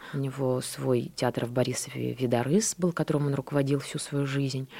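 This woman's voice is very deep and low in pitch. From Belarus, Borisov. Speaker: actress. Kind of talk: radio interview. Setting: radio studio.

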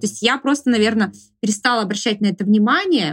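This woman's voice sits fairly high and sounds somewhat breathy. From Sverdlovsk region, Russia (Urals). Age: 30s. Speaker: camera assistant and blogger. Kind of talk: interview.

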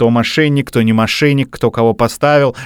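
A man's unremarkable speaking voice in a dry, close sound with no echo. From Russia, Bryansk. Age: 30s. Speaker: podcast host. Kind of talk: casual chat.

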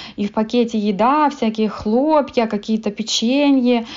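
A woman talks at a fairly slow pace and fairly high pitch in a normal speaking voice. Her pitch varies in an ordinary way. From Moldova. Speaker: blogger. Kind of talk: interview.

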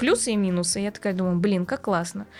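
A woman is speaking. Her pace is very fast. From Uzbekistan (ethnic Korean). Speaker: beauty blogger. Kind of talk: casual interview chat.

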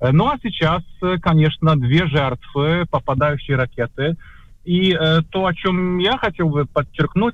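Delivered at a very slow pace, the speech shows ordinary pitch variation. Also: man. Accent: Polish. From Poland. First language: Polish (speaking Russian). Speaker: journalist. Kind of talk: interview. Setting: video call.

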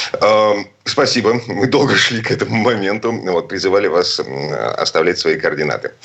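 A man at a moderate pace, with very even loudness, hardly any pauses and noticeable background noise. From Kirov, Russia. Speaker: radio host. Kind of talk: radio talk show. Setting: studio.

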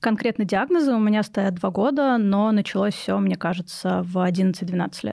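A woman speaks with a plain, everyday voice at a medium pitch. Her pace is moderate, with hardly any pauses. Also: ordinary pitch variation. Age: 20s. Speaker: psychology student and mental health activist. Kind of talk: personal testimony in interview. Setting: studio.

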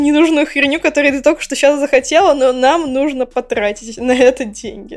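A woman is talking. She moves along fairly quickly. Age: 20s. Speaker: podcast co-host, game designer. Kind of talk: casual chat.

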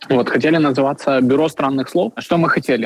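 A man with an unremarkable speaking voice and a fairly high pitch speaks with ordinary pitch variation in a dry, close sound with no echo. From Ukraine, Kyiv. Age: 20s. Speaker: coffee shop owner. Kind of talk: interview.

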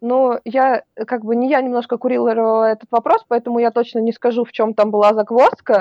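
A woman speaks at a fairly quick pace. Her fairly high voice stays monotone and flat. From Russia, Vologda. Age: 20s. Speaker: cosplayer and festival organizer. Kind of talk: casual interview.

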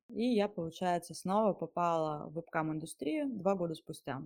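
A woman with a plain, everyday voice, fairly low in pitch, speaks with ordinary pitch variation in a very clean recording with a silent background. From Siberia, Russia (Mezhdurechensk). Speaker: webcam studio owner. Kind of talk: first-person storytelling.

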